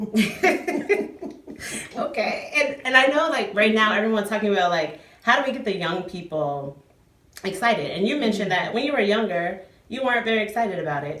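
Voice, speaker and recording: This woman's fairly high voice swings very widely in pitch at a fairly quick pace. Noticeable background noise sits behind her. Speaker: interviewer. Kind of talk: casual interview.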